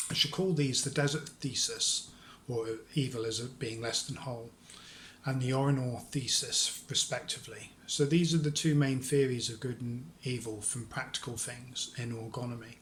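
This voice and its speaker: In a room with audible echo, a man speaks at a medium pitch and moderate pace with fairly even intonation. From London. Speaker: lecturer on orgone theory. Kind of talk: lecture. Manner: halting.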